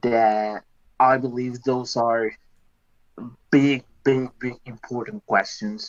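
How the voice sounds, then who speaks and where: At a very slow pace, a man with a non-native accent speaks at medium pitch with fairly even intonation, recorded dry and close with no echo. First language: not English. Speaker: voice chat participant. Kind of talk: casual group discussion.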